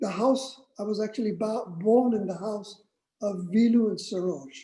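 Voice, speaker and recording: This man has a high pitch and a dark, mellow tone. He talks at a moderate pace with ordinary pitch variation. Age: 70s. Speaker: spiritual community elder sharing memories. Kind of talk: personal storytelling. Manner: halting, many fillers and restarts.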